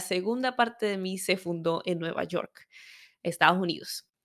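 A plain, everyday voice from a woman, medium in pitch with ordinary pitch variation, on a very clean recording with a silent background. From Venezuela. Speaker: women's health educator, podcast host. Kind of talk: personal storytelling monologue.

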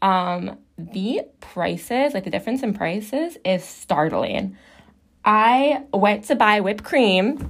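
A woman's medium-pitched voice with an American accent, lively intonation and a very slow pace, on a very clean recording with a silent background. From Chicago, US Midwest. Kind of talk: casual chat. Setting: small bathroom at home.

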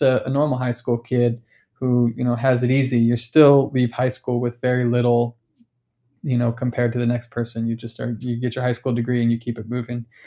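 Against a quiet background, a man of medium pitch with a Californian accent talks at a fairly quick pace in a dark, mellow tone. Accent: Californian American English. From Sacramento, California, US. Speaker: artist and activist. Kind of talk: casual interview chat.

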